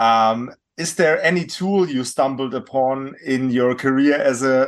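Speaking very slowly, a man uses a German accent. His pitch is medium, with ordinary pitch variation. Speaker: podcast host. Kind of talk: interview. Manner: halting.

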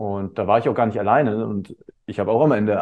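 A man speaks at a fairly quick pace in an unremarkable speaking voice, his intonation fairly even. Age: 30s. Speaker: teacher and coach. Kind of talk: casual chat.

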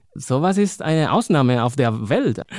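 A man with a Spanish accent, fairly high in pitch, at a fairly slow pace and with lively intonation. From Spain, Madrid. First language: Spanish (speaking German). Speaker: poet and librarian. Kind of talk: interview.

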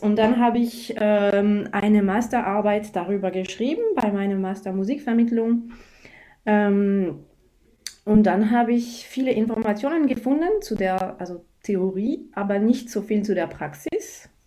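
Speaking at a fairly slow pace, a woman has a fairly high pitch and a dark, mellow tone. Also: ordinary pitch variation. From France. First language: French (speaking German). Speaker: music teacher and yoga teacher. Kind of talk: interview. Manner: halting.

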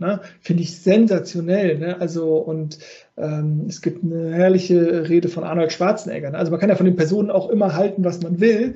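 Fairly quick, high-pitched speech from a man, with fairly even intonation. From Rhineland, Cologne area. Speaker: podcast host, life coach. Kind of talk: interview.

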